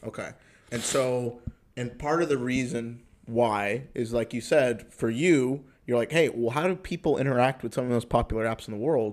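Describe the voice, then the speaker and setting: Using a plain, everyday voice, a man talks at medium pitch and a moderate pace with ordinary pitch variation. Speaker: podcast host. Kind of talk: casual interview.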